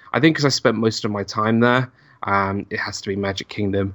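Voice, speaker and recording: A man with a London accent speaks at a fairly quick pace in a fairly low pitch. His tone is bright and sharp, in a very clean recording with a silent background. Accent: British English, London. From northwest London, England. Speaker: YouTuber and former theme park cast member. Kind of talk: casual interview chat.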